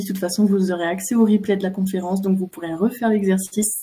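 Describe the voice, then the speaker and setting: Woman's voice of medium pitch, fairly quick pace and fairly even intonation. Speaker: animal communicator. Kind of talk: online talk; guided meditation. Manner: hesitant, many fillers; soft-spoken.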